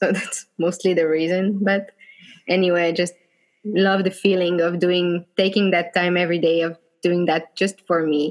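A woman with a French accent speaks with fairly even intonation. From France, Bordeaux. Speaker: blogger. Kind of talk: casual interview.

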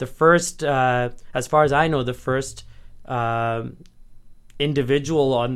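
A man talks at a fairly slow pace with a medium pitch and fairly even intonation. It is an unremarkable speaking voice. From Edmonton, Canada. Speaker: lawyer. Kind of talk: casual interview chat.

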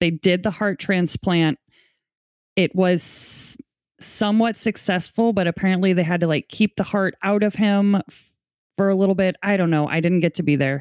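A woman with an unremarkable speaking voice talks at a medium pitch and a moderate pace, her intonation fairly even and her loudness very even, in a dry, close sound with no echo and a quiet background. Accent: American. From US Midwest, St. Louis, Missouri. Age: 30s. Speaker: podcaster, guest. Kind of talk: personal testimony.

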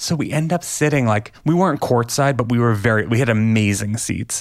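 With lively intonation and an unremarkable speaking voice, a man of medium pitch talks at a moderate pace. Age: 40s. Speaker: author. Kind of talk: casual chat.

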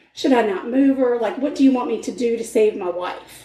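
Moderate-speed talk with lively intonation and clear noise in the background. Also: woman. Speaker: true crime podcast host. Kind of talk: casual chat.

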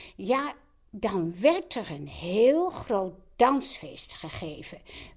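The voice shows vocal fry and moves at a very slow pace. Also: woman. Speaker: host's mother. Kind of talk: personal storytelling.

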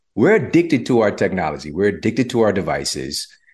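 The pace is fairly quick, with vocal fry and very wide pitch swings. The background is quiet. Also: man. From US, low-income community. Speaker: health author and podcaster. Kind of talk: interview conversation.

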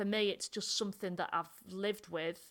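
A woman's medium-pitched voice carries a bright, sharp tone. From North Yorkshire, England. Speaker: comedian. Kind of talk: casual interview chat. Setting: video call.

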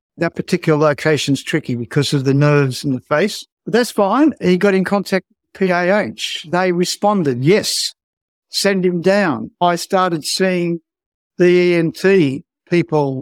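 At a fairly slow pace, a man with an Australian accent speaks in a high voice with ordinary pitch variation, the sound dry and close with no echo. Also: very even loudness. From rural Australia. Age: 70s. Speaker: skin cancer patient. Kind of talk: personal interview testimony. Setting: remote call from home office.

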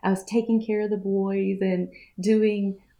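A woman at a moderate pace, in a Southern US accent. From US South, Mississippi. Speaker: coach and course designer. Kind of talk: casual interview.

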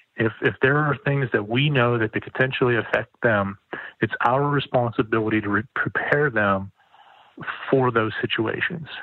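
Moderate-paced male speech at a medium pitch, with ordinary pitch variation. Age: 40s. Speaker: podcast guest sharing depression experience. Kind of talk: personal testimony interview. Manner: halting, many fillers.

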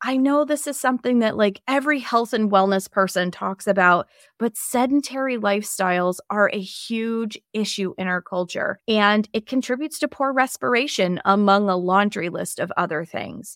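In a normal speaking voice, a woman talks at a moderate pace with hardly any pauses, her fairly high pitch showing ordinary variation, the sound dry and close with no echo on a very clean recording with a silent background. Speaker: health podcast host, Chinese medicine practitioner. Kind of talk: solo educational podcast talk.

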